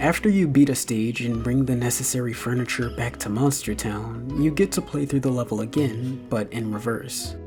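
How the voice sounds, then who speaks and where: Music plays behind a man whose moderately paced speech carries lively intonation. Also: medium pitch for a man. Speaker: video game reviewer. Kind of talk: video essay voiceover. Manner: bored-sounding at times.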